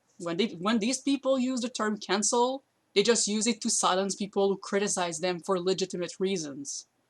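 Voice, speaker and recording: A woman with a non-native accent, medium pitch, ordinary pitch variation and a moderate pace. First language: not English. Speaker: YouTuber commentator. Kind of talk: commentary video while streaming to friends. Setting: live stream on voice chat with friends. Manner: halting, with fillers.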